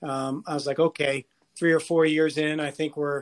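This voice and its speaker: This man's voice is fairly high, captured in a very clean recording against a silent background. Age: 40s. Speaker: college soccer coach. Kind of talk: interview.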